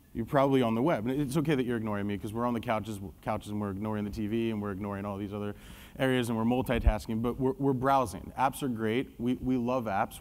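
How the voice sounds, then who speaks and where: A man's medium-pitched voice at a very fast pace, with ordinary pitch variation and audible room echo. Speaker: marketing executive presenting a case study. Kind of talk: conference presentation. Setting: stage with audience. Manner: loud.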